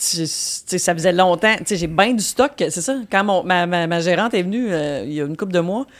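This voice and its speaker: A plain, everyday voice, a woman's, fairly low in pitch, with ordinary pitch variation at a moderate pace. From Quebec, Victoriaville. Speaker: comedian. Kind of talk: casual chat. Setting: studio.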